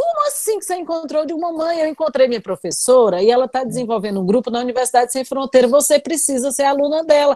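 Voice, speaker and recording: A woman's high-pitched voice at a very fast pace with hardly any pauses, in a dry, close sound with no echo. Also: lively intonation. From Brazil, Northeast. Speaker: university professor. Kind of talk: online class hosting. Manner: talkative.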